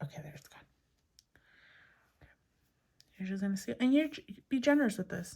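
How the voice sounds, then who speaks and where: Somewhat breathy and dark, mellow in tone, a woman speaks with very wide pitch swings, big swings in loudness and long, frequent pauses. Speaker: crafting youtuber. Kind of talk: tutorial. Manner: casual.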